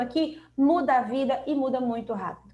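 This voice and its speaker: A woman's voice, high in pitch. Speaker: emotional intelligence coach. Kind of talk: live stream talk. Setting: live stream.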